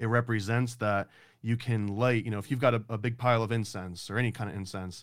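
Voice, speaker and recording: On a very clean recording with a silent background, a man with an ordinary speaking voice speaks at a medium pitch and a fairly quick pace. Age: 30s. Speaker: comic book publisher. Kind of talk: casual chat.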